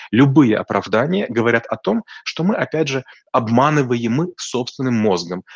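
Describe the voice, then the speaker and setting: A normal speaking voice, a man's, medium in pitch with ordinary variation, dry and close with no echo. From rural Russia. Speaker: business coach. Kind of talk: expert interview.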